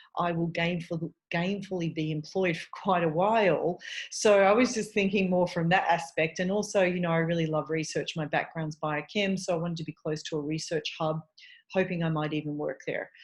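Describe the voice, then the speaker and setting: A woman speaks with an Australian accent, her pitch fairly low and her voice somewhat breathy. Her intonation stays fairly even. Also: moderate pace. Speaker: eating disorder dietitian. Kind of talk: podcast interview.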